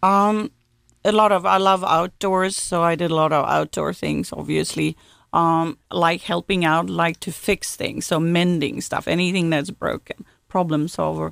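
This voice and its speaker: A woman at a fairly slow pace, in a dry, close sound with no echo, on a very clean recording with a silent background. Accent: Swedish. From Sweden, Gothenburg. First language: Swedish. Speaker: automotive executive. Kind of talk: interview.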